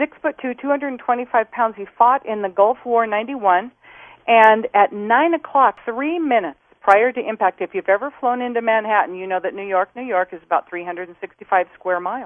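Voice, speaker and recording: With an American accent and a plain, everyday voice, a woman talks fairly quickly at a fairly high pitch, with ordinary pitch variation and big swings in loudness. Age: 60s. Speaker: former flight attendant. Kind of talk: interview.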